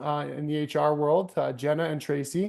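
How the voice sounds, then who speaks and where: A man with a Canadian accent, fairly high pitched, at a moderate pace over a quiet background. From Canada, Calgary. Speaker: webinar moderator. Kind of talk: webinar panel moderation. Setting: online webinar.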